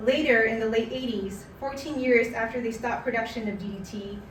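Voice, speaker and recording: A woman's fairly high voice at a fairly quick pace, fairly even in intonation, over noticeable background noise. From Canada. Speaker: spoken word artist. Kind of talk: personal essay reading at a live community event. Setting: live event.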